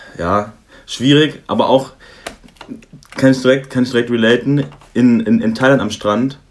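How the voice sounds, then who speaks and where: With noticeable background noise, a man at medium pitch speaks at a fairly slow pace, his intonation fairly even and broken by long, frequent pauses. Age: 20s. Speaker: student. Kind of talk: casual chat.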